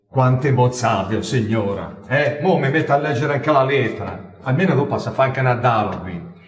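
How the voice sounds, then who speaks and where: There is noticeable background noise as a man talks fairly quickly at medium pitch, with ordinary pitch variation and hardly any pauses. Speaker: film actor. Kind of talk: comedy film dialogue.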